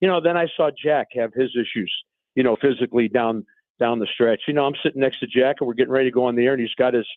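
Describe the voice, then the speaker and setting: With an American accent, a man talks at a very fast pace in a medium pitch, his pitch variation ordinary. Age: 70s. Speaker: baseball broadcaster. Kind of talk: radio interview.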